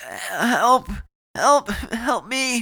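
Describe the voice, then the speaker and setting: Hoarse and raspy, a put-on character voice sits at a fairly high pitch. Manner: desperate.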